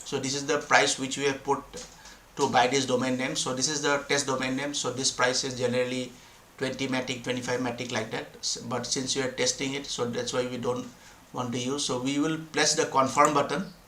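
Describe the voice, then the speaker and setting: Amid noticeable background noise and audible room echo, a man talks at a fairly quick pace and medium pitch in a monotone, flat intonation. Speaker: crypto developer explaining blockchain tools. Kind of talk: screen-share tutorial. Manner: halting, many fillers and restarts.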